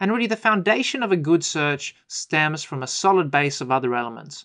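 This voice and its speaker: Against a quiet background, a man with an Australian accent talks very fast with lively intonation. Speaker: IT consultant. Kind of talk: webinar presentation.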